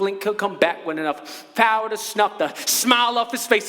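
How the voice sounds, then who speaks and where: A man's raised, projected voice at a moderate pace, with very wide pitch swings over noticeable background noise. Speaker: spoken word poet. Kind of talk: live spoken word poetry performance.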